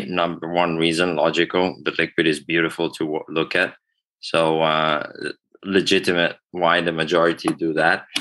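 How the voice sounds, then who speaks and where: A man's very deep, low voice, bright and sharp in tone, with very even loudness, monotone, flat intonation and a moderate pace. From Italy. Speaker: bourbon brand founder. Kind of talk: podcast interview answer.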